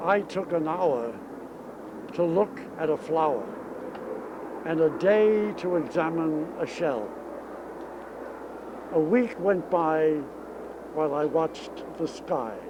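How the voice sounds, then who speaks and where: Speaking with an American accent in a fairly high voice, a man goes at a very slow pace with long, frequent pauses and ordinary pitch variation, against noticeable background noise. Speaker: stadium public address announcer. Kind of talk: poetry reading.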